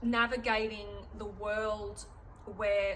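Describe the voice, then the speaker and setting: Someone with an Australian accent talks amid noticeable background noise and audible room echo. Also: woman. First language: German. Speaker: artist and vlogger. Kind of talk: casual vlog talk. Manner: halting, many fillers.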